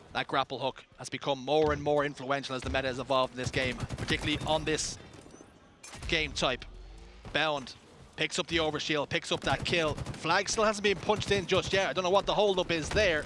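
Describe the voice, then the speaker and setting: A man's fairly high, animated voice with an Irish accent, ordinary pitch variation and a fairly quick pace, with music in the background. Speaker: esports caster. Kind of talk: live commentary.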